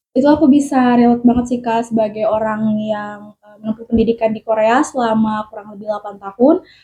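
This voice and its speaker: A woman talks very fast, barring hardly any pauses, in a dark, mellow, somewhat breathy tone. Her intonation stays fairly even while her loudness swings widely. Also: fairly high pitch for a woman. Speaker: cast member on a podcast. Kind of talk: casual podcast discussion.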